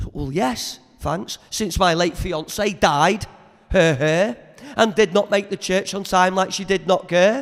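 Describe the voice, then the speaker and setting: A man speaks very slowly in a high pitch. He has a Liverpool accent. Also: ordinary pitch variation. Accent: Liverpool (Scouse). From Merseyside. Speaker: spoken word poet. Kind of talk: poetry performance. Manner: energetic.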